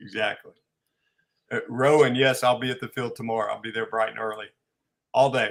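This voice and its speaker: Speaking fairly quickly in a Southern US accent, a man at medium pitch uses fairly even intonation, big swings in loudness and long, frequent pauses on a very clean recording with a silent background. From US South. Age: 40s. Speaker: RC pilot, co-host. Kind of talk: casual livestream chat.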